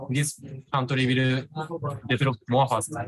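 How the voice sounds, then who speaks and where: Speaking with a Japanese accent, a man uses a fairly high pitch, a somewhat breathy sound and fairly even intonation. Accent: Japanese accent, non-fluent English. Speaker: vlogger and entrepreneur. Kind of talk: interview. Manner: halting, searching for words.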